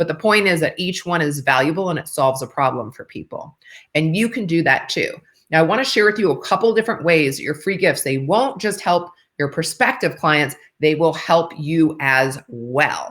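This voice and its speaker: Lively intonation comes through at a moderate pace. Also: woman, fairly low pitch for a woman. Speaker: business coach. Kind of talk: online marketing tutorial. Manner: animated.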